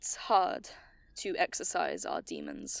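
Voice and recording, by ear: A woman whispers in a put-on character voice with vocal fry. She speaks at a slow pace.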